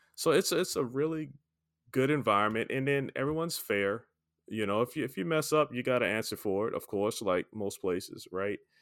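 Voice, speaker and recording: The pace is fairly quick, and the intonation lively. It's an ordinary speaking voice. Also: man, medium pitch for a man. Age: 50s. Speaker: podcast host. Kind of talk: casual interview. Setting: remote call.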